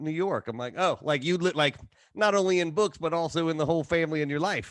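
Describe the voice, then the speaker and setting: In a Southern US accent, a man talks at a fairly quick pace against a quiet background. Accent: Southern-sounding. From Ohio, Kentucky-migrant area. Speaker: podcast host. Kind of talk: casual chat. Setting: studio. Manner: halting.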